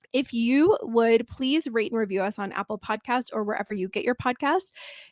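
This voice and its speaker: A woman's fairly high voice at a fairly quick pace with lively intonation, recorded dry and close with no echo. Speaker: podcast host. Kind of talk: podcast outro and announcements. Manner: fast.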